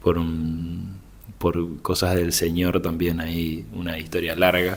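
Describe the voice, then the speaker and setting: This man's voice is very deep and low, and his intonation stays fairly even. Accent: Rioplatense. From Buenos Aires, Argentina. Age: 20s. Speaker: pastor's son, drummer. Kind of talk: casual chat.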